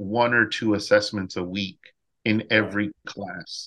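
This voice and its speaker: A man with an American accent talks at a very slow pace. His pitch is medium and his tone is bright and sharp. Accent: Texan English, Mexican American. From South Texas. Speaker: high school music teacher. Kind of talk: casual interview.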